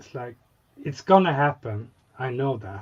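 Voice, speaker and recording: The man's voice rests at a medium pitch. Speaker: scale model hobbyist. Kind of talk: casual chat. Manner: halting, searching for words.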